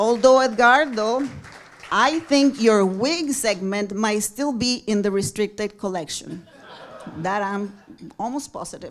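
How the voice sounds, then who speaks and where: Over crowd noise in the background, a woman speaks fairly slowly with a fairly high pitch. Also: ordinary pitch variation. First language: Spanish. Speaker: television producer. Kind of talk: award tribute speech. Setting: stage at awards luncheon.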